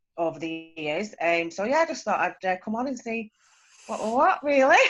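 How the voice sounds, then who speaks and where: The speaker has a strong Lancashire accent and lively intonation. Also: woman. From northern England, Preston, Lancashire. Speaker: meeting participant. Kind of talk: casual introduction on video call. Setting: video call.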